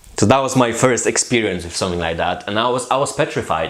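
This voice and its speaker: A man talks at a fairly quick pace with ordinary pitch variation. There is noticeable background noise and audible room echo. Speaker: massage therapist. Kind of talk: casual chat. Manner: halting, with many repetitions.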